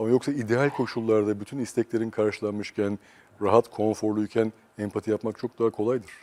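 A quiet man with a fairly low pitch and a dark, mellow tone speaks at a fairly quick pace in a monotone, flat delivery. The sound is dry and close with no echo. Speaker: psychosociologist. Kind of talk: interview. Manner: calm, quiet.

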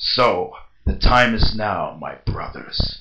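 At a fairly slow pace, a man puts on a character voice. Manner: solemn, commanding, inspirational.

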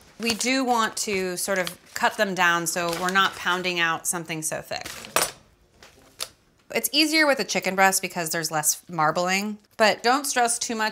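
The pace is moderate as a woman talks. Noticeable background noise runs behind her. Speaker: home cook host. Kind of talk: casual cooking tutorial. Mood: playful, relaxed. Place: kitchen.

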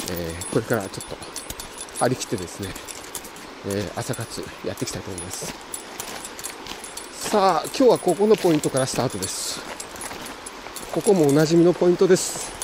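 Noticeable background noise sits under a fairly quick delivery with a dry sound and no echo. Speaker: angler vlogger. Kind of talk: casual vlog chat. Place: waterside. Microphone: phone near.

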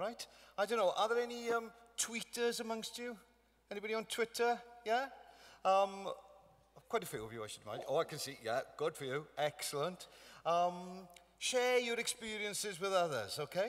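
Speaking at a moderate pace with a Welsh accent, a man uses a high pitch and lively intonation, leaving long, frequent pauses. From Wales. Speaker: broadcaster and ceremony host; ceremony host. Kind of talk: awards ceremony hosting. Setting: stage with audience. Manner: jovial. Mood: upbeat, encouraging. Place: hall. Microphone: podium.

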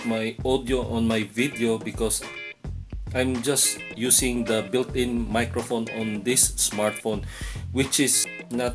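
A man speaking at a very slow pace, with clear music in the background. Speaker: vlogger. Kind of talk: casual vlog chat. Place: home room. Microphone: phone near.

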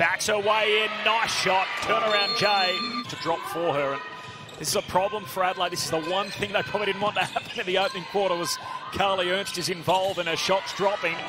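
Over noticeable background noise, a man with a high pitch uses a raised, projected voice, talking at a fairly quick pace in an animated tone. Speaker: basketball commentator. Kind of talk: live sports commentary on game highlights. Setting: voiceover over game footage. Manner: animated, punchy delivery rising on big shots.

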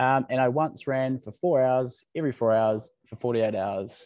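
A man with a New Zealand accent and a medium pitch, in a dry sound with no echo against a quiet background. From New Zealand, Waikato. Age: 20s. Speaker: startup founder. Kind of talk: presentation. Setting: video call. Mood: friendly, lightly humorous. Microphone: video call.

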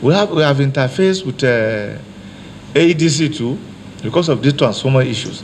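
The speaker talks at a moderate pace with a Nigerian accent and ordinary pitch variation. Long, frequent pauses break up the speech over light background noise. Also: man, fairly high pitch for a man. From Niger State, Nigeria. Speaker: deputy state governor, visiting official. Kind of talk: formal official meeting address. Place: meeting room. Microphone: handheld.

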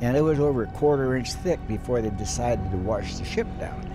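Fairly quick male speech with ordinary pitch variation, dry with no echo, clear music in the background. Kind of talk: interview answer. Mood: grave, reflective. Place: home room.

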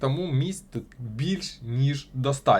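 With lively intonation and a somewhat breathy sound, a man speaks at a fairly slow pace and a fairly high pitch. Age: 20s. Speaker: crypto blogger. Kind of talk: tutorial.

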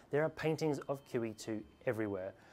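The intonation rises and falls with lively energy. The pace is moderate. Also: man. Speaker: presenter. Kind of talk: presenter commentary to camera. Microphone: lapel.

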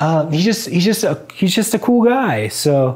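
In a quiet background, a man speaks at a very slow pace in a somewhat breathy voice. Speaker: vlogger. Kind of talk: casual vlog chat. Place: home room. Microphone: lapel.

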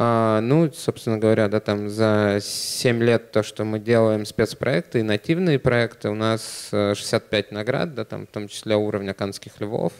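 At a very slow pace, a man speaks at a fairly low pitch with fairly even intonation over a quiet background. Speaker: online media executive; conference presenter. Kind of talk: conference talk. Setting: stage with audience. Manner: casual, filler-heavy. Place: hall. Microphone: handheld.

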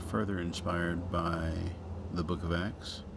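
A man speaks at a very slow pace. Noticeable background noise runs underneath. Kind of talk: casual video outro and explanation.

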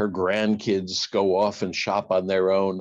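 This is a man with a fairly low voice. His tone is slightly mellow.

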